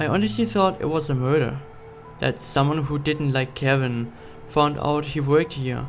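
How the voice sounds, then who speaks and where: Music plays in the background as a man speaks at a fairly slow pace. His pitch is fairly high, with ordinary variation. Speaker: horror story narrator. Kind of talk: horror story narration.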